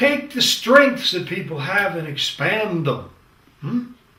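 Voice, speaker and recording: A man at a fairly slow pace, with very wide pitch swings and audible room echo. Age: 70s. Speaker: leadership lecturer. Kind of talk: lecture. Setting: studio, green screen. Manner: conversational, with hesitations.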